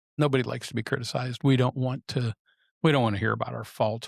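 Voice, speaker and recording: On a very clean recording with a silent background, a man talks at a very fast pace, the sound dry and close with no echo. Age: 60s. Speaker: podcast host and photographer. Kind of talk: solo podcast reflection. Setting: studio. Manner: casual, with frequent fillers and repetitions.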